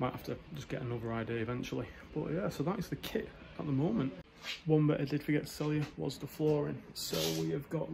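A man at a very fast pace, with noticeable background noise. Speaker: fitness vlogger. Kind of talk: casual vlog chat. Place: garage. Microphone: phone near.

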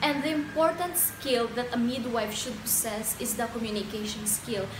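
Noticeable background noise behind a female speaker with ordinary pitch variation. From Philippines, Bohol. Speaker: midwifery student. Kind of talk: mock job interview answer. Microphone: phone near.

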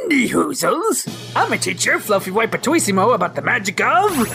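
Over clear background music, someone does a put-on character voice at a moderate pace. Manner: manic, gibberish-spouting, overexcited.

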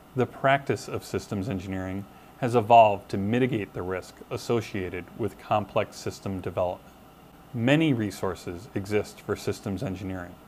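A man's a normal speaking voice, fairly low in pitch, with ordinary pitch variation and a moderate pace, over light background noise. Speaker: course instructor. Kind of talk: lecture. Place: office. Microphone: lapel.

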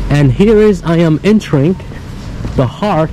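At a fairly slow pace, a man speaks in a dark, mellow tone with ordinary pitch variation over faint background noise.

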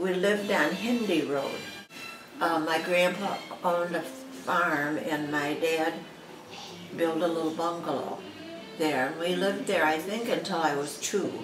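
A woman speaks at a fairly slow pace with fairly low pitch and long, frequent pauses. Background noise is noticeable. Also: ordinary pitch variation. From Jackson, Michigan. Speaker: grandmother interviewed about family history. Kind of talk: interview answer. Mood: calm, reminiscing. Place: home room.

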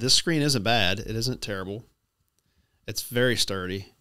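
Over noticeable background noise, a man speaks in a bright, sharp tone with ordinary pitch variation. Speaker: gear reviewer. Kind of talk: product review talk. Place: home room. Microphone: studio mic.

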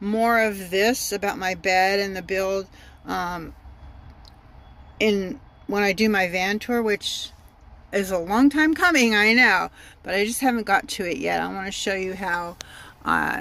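A woman's bright, sharp voice at a fairly slow pace, with ordinary pitch variation, long and frequent pauses, and a dry sound with no echo. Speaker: van dweller vlogger. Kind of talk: casual vlog tour. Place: car. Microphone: phone near.

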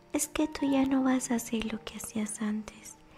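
A woman's pitch swings very widely. Clear music sounds in the background. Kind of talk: personal faith testimony to camera. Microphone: studio mic.

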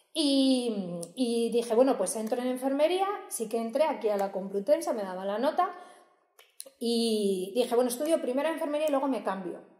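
A woman's dark, mellow voice, fairly high in pitch, with very wide pitch swings at a moderate pace, audible room echo and a quiet background. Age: 30s. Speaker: nursing professor. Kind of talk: casual interview. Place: hall.

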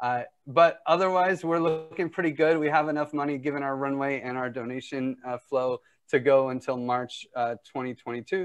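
Ordinary pitch variation and a moderate pace come through with music in the background. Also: man. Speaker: meeting host. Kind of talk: meeting update. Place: home room.

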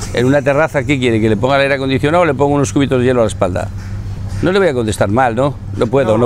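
A man talks very fast with ordinary pitch variation and very even loudness. The sound is dry with no echo, over light background noise. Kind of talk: interview answer. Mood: earnest, defensive. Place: cafe.

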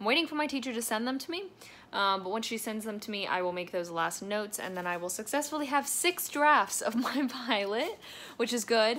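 A woman speaks at a fairly quick pace in a bright, sharp tone. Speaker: vlogger. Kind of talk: casual vlog chat. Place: home room. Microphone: phone near.

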